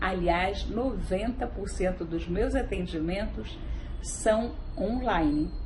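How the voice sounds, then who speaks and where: A woman with a Rio de Janeiro accent, amid noticeable background noise and audible room echo. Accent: carioca. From Brazil, Rio de Janeiro. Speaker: family constellation therapist, physician. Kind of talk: direct-to-camera explainer and promo.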